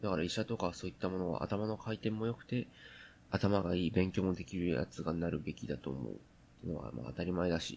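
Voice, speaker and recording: Vocal fry marks a man talking at a very fast pace with lively intonation. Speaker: podcast host. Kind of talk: solo casual talk. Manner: halting, many fillers.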